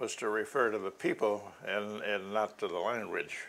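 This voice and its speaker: In an American accent, the voice has a bright, sharp tone and fairly even intonation. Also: man. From US. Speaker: archaeology professor; archaeology professor interviewee. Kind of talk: interview. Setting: apartment. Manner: halting. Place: home room.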